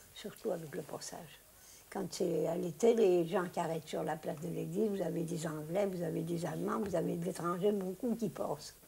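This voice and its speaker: This woman's fairly low voice has a dark, mellow tone, vocal fry and fairly even intonation. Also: moderate pace. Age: 80s+. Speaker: village grocer. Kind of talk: interview answer. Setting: shop. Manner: cheerful.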